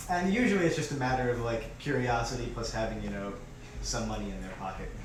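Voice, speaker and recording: Speaking at a very fast pace, a man with an American accent is heard with audible room echo and noticeable background noise. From US Midwest, Chicago. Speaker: street poet. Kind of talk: interview. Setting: shop, live video.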